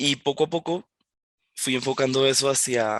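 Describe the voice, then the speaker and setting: In a Colombian accent, a man speaks at a fairly slow pace with a dry, close sound and no echo. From Colombia, Villavicencio (Llanos), born in Barranquilla. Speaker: junior software developer. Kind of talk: presentation talk. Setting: online event presentation on camera. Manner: hesitant, with fillers and repetitions.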